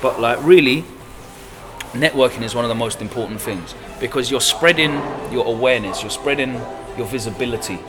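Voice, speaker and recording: A man with an animated tone, medium pitch and ordinary pitch variation, a fairly quick pace broken by long, frequent pauses, audible room echo and music in the background. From Essex, England. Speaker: grime DJ. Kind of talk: interview. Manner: casual, animated.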